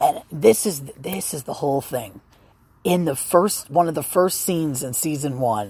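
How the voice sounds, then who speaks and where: A woman with a very deep, low pitch and a dark, mellow tone speaks with lively intonation and big swings in loudness. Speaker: podcaster sharing personal opinions. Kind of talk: casual monologue. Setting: outdoors outside apartment at night. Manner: halting, many restarts.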